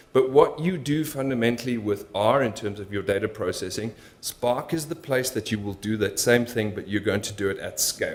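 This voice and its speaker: A man with a medium pitch and ordinary pitch variation talks at a fairly quick pace. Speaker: conference speaker, machine learning engineer. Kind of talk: conference talk. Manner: fast.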